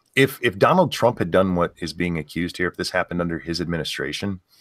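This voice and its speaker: With a very deep, low pitch and a bright, sharp tone, a man speaks in a very clean recording with a silent background. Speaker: political commentary youtuber. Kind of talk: casual political discussion. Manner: halting, trips over words.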